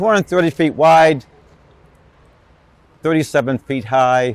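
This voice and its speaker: With music in the background, a man with a fairly high pitch talks at a fairly slow pace, his pitch varying in an ordinary way. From Rhode Island, New England. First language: Portuguese. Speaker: ballpark tour guide. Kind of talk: personal interview testimony. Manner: conversational with fillers and repetitions.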